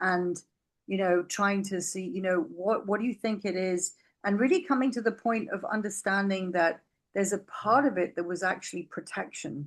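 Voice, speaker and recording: A normal speaking voice from a woman, moderate in pace and medium in pitch, with ordinary pitch variation. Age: 60s. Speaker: podcast guest sharing personal health story. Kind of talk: casual interview conversation.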